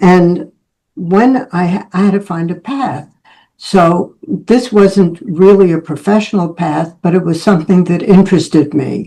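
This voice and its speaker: Speaking at a fairly slow pace, a woman has a fairly low pitch and a dark, mellow tone. Her intonation is lively. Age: 80s+. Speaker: speaker at public speaking club, photographer. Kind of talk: prepared speech.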